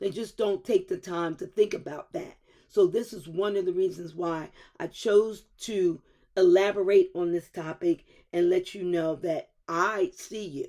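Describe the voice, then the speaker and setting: A woman's medium-pitched voice, dark and mellow in tone, at a fairly slow pace. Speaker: podcast host. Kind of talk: motivational talk. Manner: loud and excitable; softened voice.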